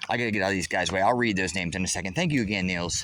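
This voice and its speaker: A man at a fairly quick pace with audible room echo and noticeable background noise. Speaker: live streamer. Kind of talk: casual live stream chat. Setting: golf course; church fellowship hall lunchroom.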